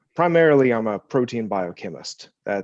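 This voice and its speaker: A man with an American accent speaks with lively intonation. The background is quiet. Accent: slight Appalachian, mostly suppressed. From US South, West Virginia. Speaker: postdoctoral biochemist. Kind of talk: panel discussion.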